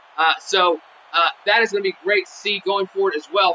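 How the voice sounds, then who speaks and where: Against noticeable background noise, a man uses a raised, projected voice at a fairly quick pace with ordinary pitch variation. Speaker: wrestling game show announcer. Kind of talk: post-show commentary livestream. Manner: rambling with many fillers.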